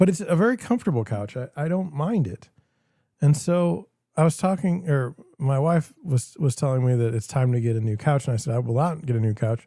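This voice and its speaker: With an American accent, a man talks at a fairly quick pace with lively intonation. His tone is dark and mellow, and somewhat breathy. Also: fairly high pitch for a man. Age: 40s. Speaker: real estate broker and livestream host. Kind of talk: solo livestream commentary. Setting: livestream, alone at screen. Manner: casual, repetitive false starts.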